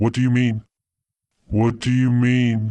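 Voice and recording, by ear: Putting on a growling character voice, a man speaks in a medium pitch at a fairly slow pace with monotone, flat intonation.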